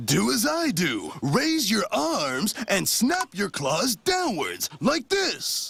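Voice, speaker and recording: A man puts on a cartoonish character voice with high pitch, speaking at a very slow pace. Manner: giggly, lively.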